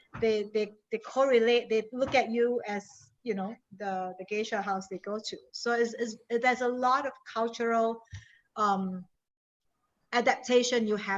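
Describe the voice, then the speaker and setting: A woman with an American accent speaks at a moderate pace and a fairly high pitch, her intonation fairly even. Her loudness swings widely against a quiet background. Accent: Singaporean, noted by US colleagues. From Singapore. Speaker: industry consultant, guest speaker. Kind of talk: panel discussion for a class.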